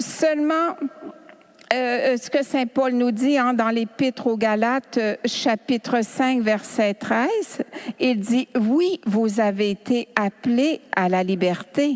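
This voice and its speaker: Amid noticeable background noise, a woman with a high voice speaks at a very slow pace with very even loudness and ordinary pitch variation, in a dry, close sound with no echo. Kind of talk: spiritual teaching talk. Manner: animated.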